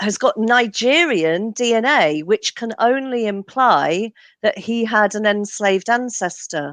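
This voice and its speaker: With an English accent, a woman speaks fairly slowly in a fairly high pitch with lively intonation. The sound is dry and close with no echo, and the background is quiet. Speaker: genealogist and author. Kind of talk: interview.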